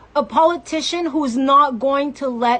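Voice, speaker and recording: A woman's high-pitched, passionate voice at a fairly slow pace, with ordinary pitch variation. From Mexico. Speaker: political activist. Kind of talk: political commentary monologue.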